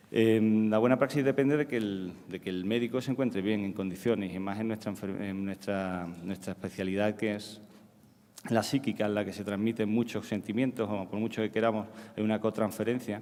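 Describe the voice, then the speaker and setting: At a fairly quick pace, a man talks with intonation that stays fairly even. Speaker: psychiatrist. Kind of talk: conference talk. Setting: stage with audience. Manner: halting, many repetitions.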